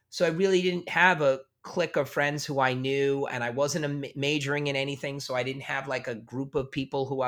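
In a very clean recording with a silent background, a man with an American accent speaks at a fairly quick pace, his fairly high voice bright and sharp in tone. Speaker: music educator and former college radio host. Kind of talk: interview.

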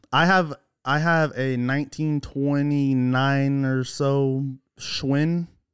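A man with an American accent, fairly high in pitch, very slow and monotone with flat intonation, in a very clean recording with a silent background. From Oklahoma. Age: 20s. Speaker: podcast listener, guest. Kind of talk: casual chat. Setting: man cave at home.

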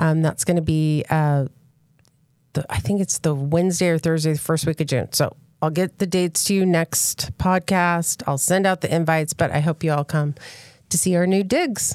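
A woman with a plain, everyday voice, fairly low in pitch, talks at a moderate pace with fairly even intonation on a very clean recording with a silent background and a dry, close sound with no echo. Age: 50s. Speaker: real estate agent. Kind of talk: casual chat.

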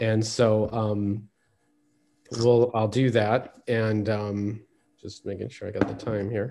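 A man's fairly low, monotone, flat voice at a very slow pace, with long, frequent pauses and big swings in loudness. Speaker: speaker on peacebuilding history.

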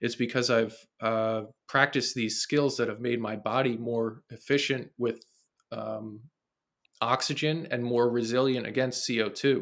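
Speaking with a New Jersey accent, a man delivers his words at a fairly slow pace in a medium pitch with monotone, flat intonation. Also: very clean recording, silent background. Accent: New Jersey American. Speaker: fitness trainer and coach. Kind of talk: casual interview conversation. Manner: rambling, filler-heavy.

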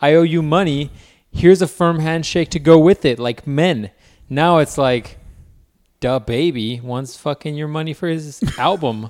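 A man with a normal speaking voice talks at a fairly slow pace and fairly high pitch. The recording is very clean, with a silent background. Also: ordinary pitch variation. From Mexican-American background. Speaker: podcast co-host. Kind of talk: casual chat.

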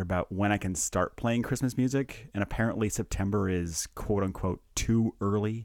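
This is a man with an unremarkable speaking voice, fairly low in pitch and fairly even in intonation. He talks at a fairly quick pace on a very clean recording with a silent background. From Canada. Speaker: anaesthesia doctor and podcast host. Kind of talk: casual chat. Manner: joking, laughs often.

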